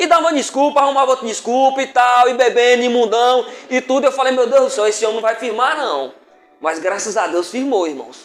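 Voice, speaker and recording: With a northern Minas Gerais accent, a man talks at an extremely high pitch and fairly quick pace with ordinary pitch variation, amid noticeable background noise. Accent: northern Minas Gerais accent, close to Bahian. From far northern Minas Gerais, Brazil. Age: 50s. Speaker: preacher. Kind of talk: sermon. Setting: church.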